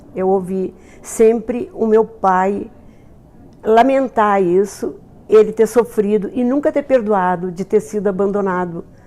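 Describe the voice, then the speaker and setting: Her pitch is medium as a woman speaks at a fairly slow pace with a dark, mellow tone and ordinary pitch variation. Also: long, frequent pauses. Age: 70s. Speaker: author. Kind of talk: documentary interview testimony. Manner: halting.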